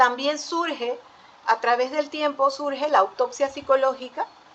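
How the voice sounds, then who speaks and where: Noticeable background noise sits behind a woman speaking at a fairly slow pace. Her voice is high in pitch, with ordinary pitch variation. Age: 60s. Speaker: forensic psychologist. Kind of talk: panel talk. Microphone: audio slightly distorted.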